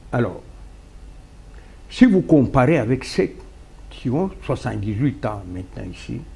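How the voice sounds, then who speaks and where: A man speaks at a very slow pace. His speech is broken by long, frequent pauses. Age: 70s. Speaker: political party founder. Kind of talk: talk show interview.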